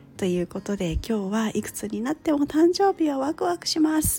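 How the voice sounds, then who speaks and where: A woman talks at a fairly quick pace with lively intonation. Her tone is dark, mellow, and somewhat breathy. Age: 40s. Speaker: career coach. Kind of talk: casual solo talk.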